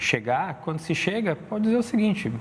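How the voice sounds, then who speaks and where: A man speaks at a moderate pace. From Brazil, Rio Grande do Sul north coast (Torres). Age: 40s. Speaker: illustrator and entrepreneur. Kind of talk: interview conversation. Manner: hesitant, many fillers.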